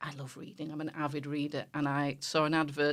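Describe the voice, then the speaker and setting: A woman with a very deep, low voice and a Yorkshire accent. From northern England, West Yorkshire. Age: 50s. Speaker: charity volunteer coordinator. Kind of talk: radio interview.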